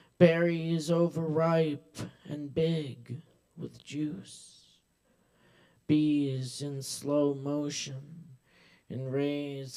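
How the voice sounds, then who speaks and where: Very slowly, a man with an American accent speaks in a dark, mellow tone at a fairly high pitch, with fairly even intonation. Room echo is audible. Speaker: open mic host and poet. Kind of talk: poetry reading. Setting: stage with audience.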